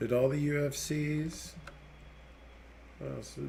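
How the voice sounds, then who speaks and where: A man talks with an American accent at a very slow pace. There is audible room echo. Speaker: gaming streamer; military veteran streamer. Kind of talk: live gameplay stream chat. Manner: rambling casual.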